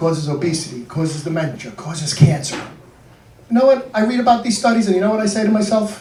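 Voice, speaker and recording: The speech is very fast, with lively intonation. Room echo is audible, and background noise is noticeable. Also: man, high pitch for a man. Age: 60s. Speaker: comedian. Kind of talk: stand-up. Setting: stage with audience.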